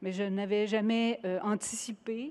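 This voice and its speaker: A woman with a Quebec accent at a medium pitch, fairly even intonation and a very slow pace, against a quiet background. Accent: Québécois French. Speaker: sustainability executive at investment fund. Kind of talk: award acceptance speech. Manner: halting, many hesitations.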